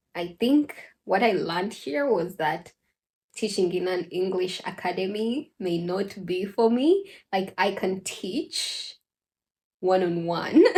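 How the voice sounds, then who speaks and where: The voice has a dark, mellow tone and is somewhat breathy. It moves at a very slow pace. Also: woman. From Uganda. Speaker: vlogger. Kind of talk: casual vlog talk.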